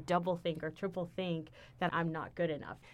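This woman has a plain, everyday voice, fairly low in pitch, with an American accent and fairly even intonation. The recording is very clean, with a silent background. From Texas, Houston. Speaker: university diversity administrator. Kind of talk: casual chat.

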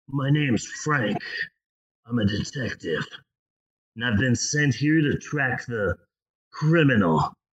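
A man uses a put-on character voice at a medium pitch. He talks at a fairly slow pace. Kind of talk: flat, stock cop delivery.

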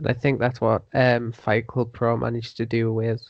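Speaking at a moderate pace, a man delivers his words in a flat, monotone intonation. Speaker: podcast guest, wrestling writer.

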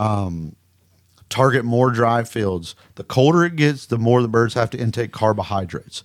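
In a very clean recording with a silent background, a man with a Southern accent speaks at medium pitch with ordinary pitch variation. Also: moderate pace. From Mississippi. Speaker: duck hunting guide and outfitter. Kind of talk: casual interview.

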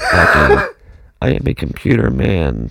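A man is doing a put-on character voice. His pitch is very deep and low.

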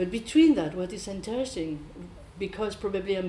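With a French accent, a woman is speaking. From France, south. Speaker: improvising musician, bassist. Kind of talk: panel discussion. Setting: stage with audience.

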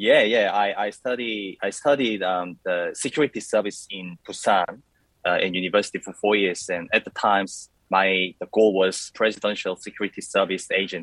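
A man's fairly low voice in a Korean accent, with fairly even intonation, a moderate pace and a dry, close sound with no echo. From South Korea. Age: 30s. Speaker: coffee competition champion. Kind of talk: interview.

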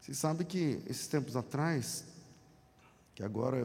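There is audible room echo around a man's somewhat breathy, medium-pitched voice with a dark, mellow tone. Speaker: guest pastor. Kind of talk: sermon. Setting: church. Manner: animated.

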